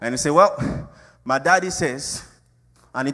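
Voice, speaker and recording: With an African accent, a man speaks in an animated tone. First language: not English. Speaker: pastor. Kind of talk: sermon.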